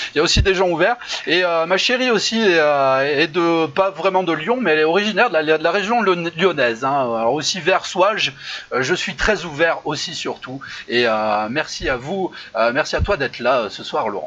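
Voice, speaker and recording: A man with a high voice and lively intonation talks at a moderate pace. Background noise is noticeable. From France, Saint-Étienne. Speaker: improv show host. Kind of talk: casual live chat show. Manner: hesitant, many fillers.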